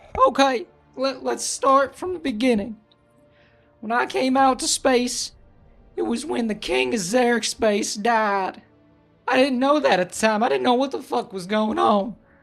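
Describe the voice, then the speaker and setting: A put-on character voice at a moderate pace, with long, frequent pauses and faint music in the background. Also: man, extremely high pitch for a man. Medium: actual play. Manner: rambling, casual, profane.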